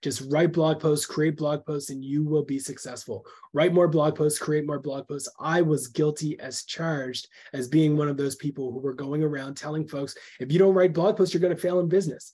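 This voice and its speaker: A man speaks in a dark, mellow tone that is somewhat breathy, with fairly even intonation. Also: moderate pace. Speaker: webinar presenter. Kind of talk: webinar talk. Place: home room.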